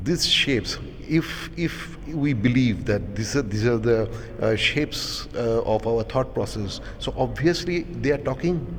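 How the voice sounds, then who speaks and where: There is noticeable background noise behind a man speaking at a medium pitch. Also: ordinary pitch variation, fairly slow pace. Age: 60s. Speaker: painter. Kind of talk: interview.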